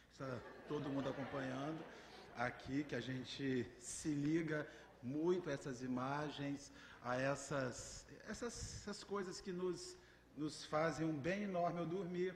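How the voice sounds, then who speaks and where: Audible room echo follows a man who speaks fairly slowly in a fairly high voice with ordinary pitch variation. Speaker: spiritist lecturer. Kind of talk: religious lecture. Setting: spiritist center hall with audience. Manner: halting.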